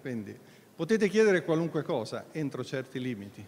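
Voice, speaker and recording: A man with a plain, everyday voice speaks at a fairly high pitch with lively intonation over light background noise. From Italy. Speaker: foundation president and moderator; moderator. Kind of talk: event introduction and moderation. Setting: hall with live audience. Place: hall. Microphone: handheld.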